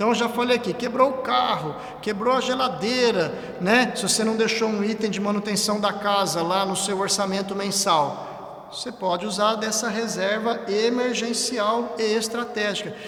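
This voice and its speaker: A man speaks in a high voice with fairly even intonation. Noticeable background noise and audible room echo fill the recording. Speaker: church lay teacher, civil servant. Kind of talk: church teaching talk on a livestream. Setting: church livestream. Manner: fast.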